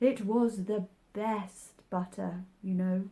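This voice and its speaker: Using a put-on character voice, a woman speaks at medium pitch. Her pace is very slow. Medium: read story. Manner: contrary, pedantic.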